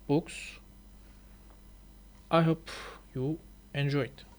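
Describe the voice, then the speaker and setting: In a Turkish accent, a man speaks very slowly in a fairly high pitch. Long, frequent pauses break up his speech. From Turkey. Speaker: language learner and YouTuber. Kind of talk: reading aloud with commentary. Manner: halting.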